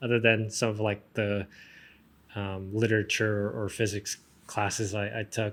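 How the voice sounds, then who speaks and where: Here a man talks with a fairly low pitch at a moderate pace. His intonation stays monotone and flat. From South Korea, moved to the US as a child. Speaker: professional golfer. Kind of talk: podcast interview. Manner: hesitant, many fillers.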